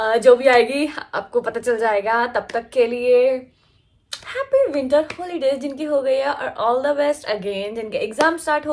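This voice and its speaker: Slowly, at a fairly slow pace, a woman speaks with a high pitch. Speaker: college student vlogger. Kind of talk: casual vlog. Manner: chatty, filler-heavy.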